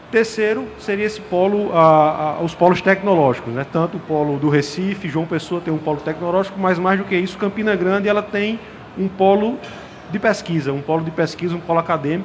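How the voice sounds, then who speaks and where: A man's high voice at a fairly quick pace, ordinary pitch variation, noticeable background noise. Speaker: industry panelist. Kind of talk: panel discussion. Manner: halting, many repetitions and fillers.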